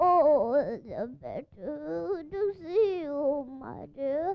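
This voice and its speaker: A woman puts on a high-pitched character voice. She speaks at a very slow pace. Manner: sweet, feigned, sly.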